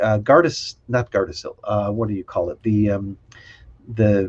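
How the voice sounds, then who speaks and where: The man speaks at a fairly slow pace. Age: 60s. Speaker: libertarian activist. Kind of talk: casual interview chat. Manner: halting, frequent repetitions.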